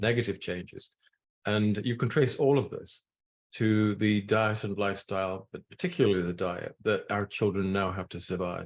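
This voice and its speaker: A man with a Scottish accent, fairly low in pitch, at a moderate pace with fairly even intonation. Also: quiet background. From Scotland. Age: 70s. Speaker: nutrition scientist. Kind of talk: talk to an audience. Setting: room with audience. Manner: halting.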